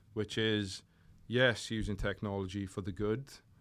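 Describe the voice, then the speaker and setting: A man speaks at fairly low pitch in a flat monotone. The recording is very clean, with a silent background. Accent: Welsh. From South Wales, Port Talbot. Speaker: fitness coach. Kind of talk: casual chat. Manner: slurred, lazy diction.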